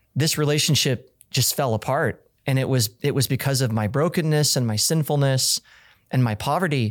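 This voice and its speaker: A man with an American accent speaks in a normal speaking voice at medium pitch, moderate pace and very even loudness, with ordinary pitch variation. The recording is very clean, with a silent background. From Kansas. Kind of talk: casual chat.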